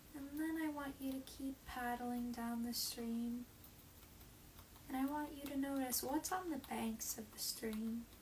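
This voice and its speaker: Amid noticeable background noise, a woman with a high pitch speaks fairly slowly in a calm tone with fairly even intonation. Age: 20s. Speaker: meditation guide. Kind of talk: guided meditation. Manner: slow, calm.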